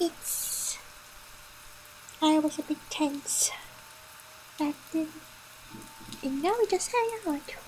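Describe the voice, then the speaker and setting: Very slowly and with long, frequent pauses, a woman speaks at an extremely high pitch with lively intonation. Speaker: vtuber streamer. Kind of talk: casual chat. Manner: relaxed, unmodulated.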